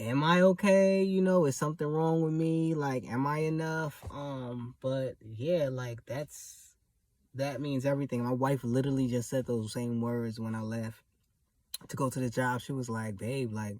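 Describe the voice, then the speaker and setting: A soft-spoken man of medium pitch at a moderate pace, with ordinary pitch variation, on a very clean recording with a silent background. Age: 30s. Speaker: vlogger and house cleaner. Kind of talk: casual vlog monologue. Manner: laid back.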